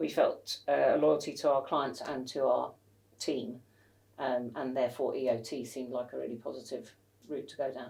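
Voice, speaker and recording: At a moderate pace, a woman talks with big swings in loudness. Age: 60s. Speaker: company co-founder and financial planner. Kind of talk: interview. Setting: office. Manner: hesitant, with fillers.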